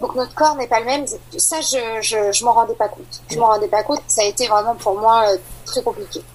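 Against noticeable background noise, a woman with a fairly high pitch speaks at a fairly quick pace with ordinary pitch variation. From Île-de-France, France. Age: 30s. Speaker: mother sharing postpartum depression story. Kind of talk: personal testimony interview.

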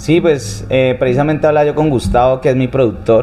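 Noticeable background noise is present throughout. The talking proceeds at a fairly quick pace. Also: man. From Colombia, Cali. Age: 30s. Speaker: singer. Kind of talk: interview conversation. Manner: halting, with frequent repetitions.

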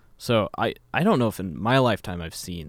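Over a very clean recording with a silent background, a man with an American accent and a normal speaking voice talks at a fairly low pitch and a moderate pace, his pitch varying in an ordinary way. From Kansas. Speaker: baseball fan guest. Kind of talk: casual sports chat.

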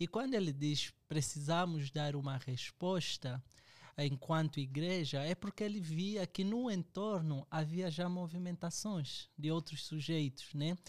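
In a normal speaking voice, a man speaks at a fairly slow pace and fairly high pitch with ordinary pitch variation and very even loudness, on a very clean, dry, close recording with a silent background and no echo. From Angola. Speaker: theologian and doctoral student. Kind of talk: book discussion.

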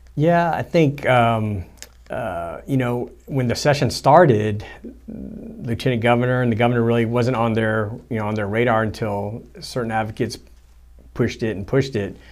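A man with an American accent talks at a moderate pace and medium pitch, with ordinary pitch variation. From US, Houston, Texas. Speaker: political co-host, government professional. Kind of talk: casual political discussion. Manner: halting, many fillers.

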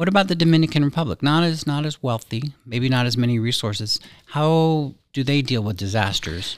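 A man with an American accent speaks at a fairly quick pace in an unremarkable speaking voice with lively intonation. The recording is very clean and dry, with a silent background and a close sound with no echo. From US South, Pensacola, Florida. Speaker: university dean and podcast host. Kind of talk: interview. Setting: studio.

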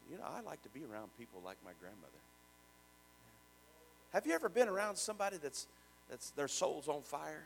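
With an American accent, a man speaks at a moderate pace and a fairly high pitch, showing vocal fry, very wide pitch swings and big swings in loudness. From Richmond, Indiana. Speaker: pastor. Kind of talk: sermon, preacher in full flow with call-and-response. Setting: church with congregation. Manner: fervent, rising, exhorting the congregation; repetitive, rhythmic praise with shouted amens.

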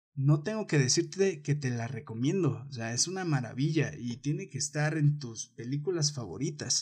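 A man speaks at a fairly slow pace in a fairly high pitch. His tone is animated and somewhat breathy. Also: very clean recording, silent background. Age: 20s. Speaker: podcast host. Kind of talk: casual monologue.

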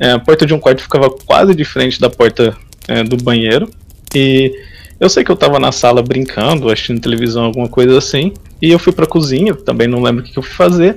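The man has an unremarkable speaking voice, medium in pitch with ordinary pitch variation. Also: fairly quick pace. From interior of São Paulo state, Brazil. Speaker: website administrator, programmer. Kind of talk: casual interview chat.

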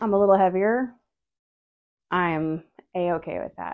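The woman's intonation is lively. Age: 30s. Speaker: podcast host. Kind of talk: casual solo chat. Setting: at home doing laundry, on video.

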